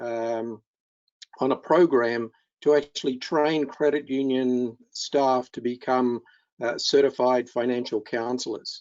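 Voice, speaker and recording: A man speaks very slowly in an Australian accent. His pitch is medium, and his intonation stays fairly even. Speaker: keynote speaker, financial counselling trainer. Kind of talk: webinar presentation. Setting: online webinar. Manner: halting with many fillers.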